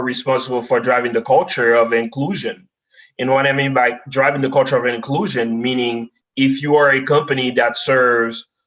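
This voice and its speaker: A man with a Haitian accent speaks at medium pitch and a moderate pace, his intonation fairly even. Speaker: data science expert. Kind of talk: podcast interview.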